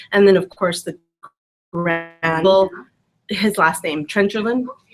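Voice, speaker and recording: Fairly slow pace with ordinary pitch variation. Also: woman, medium pitch for a woman. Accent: Spanish. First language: Spanish. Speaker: business trainer. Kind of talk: casual chat. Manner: animated.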